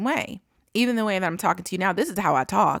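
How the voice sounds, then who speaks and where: Dry and close with no echo, the speech comes at a very fast pace in an American accent with lively intonation. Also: woman. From California. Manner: conversational, reflective.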